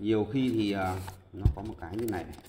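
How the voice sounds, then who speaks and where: A somewhat breathy voice moves at a fairly quick pace, with audible room echo. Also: man. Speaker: karaoke audio technician. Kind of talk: tutorial. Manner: hesitant, many filler sounds.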